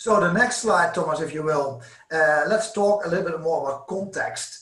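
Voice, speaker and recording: A man speaks at a moderate pace with lively intonation, with audible room echo and noticeable background noise. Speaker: sales manager presenting webinar. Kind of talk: corporate webinar presentation. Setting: online webinar with interpreters. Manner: hesitant, many fillers.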